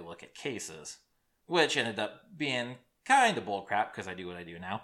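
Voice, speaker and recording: On a very clean recording with a silent background, a man with a US Midwestern accent speaks at a fairly low pitch and moderate pace, with lively intonation and a bright, sharp tone. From Iowa, US Midwest. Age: 30s. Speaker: true crime podcast host. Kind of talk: casual solo podcast monologue. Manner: rambling, hesitant with fillers.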